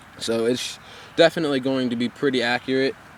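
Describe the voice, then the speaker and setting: A man at medium pitch talks with fairly even intonation against noticeable background noise. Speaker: airsoft reviewer. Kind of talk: product review. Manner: fast; halting, many fillers and restarts.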